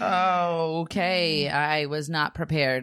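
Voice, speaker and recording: A woman's voice with fairly even intonation. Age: 30s. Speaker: podcast co-host, mother, author. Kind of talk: casual chat.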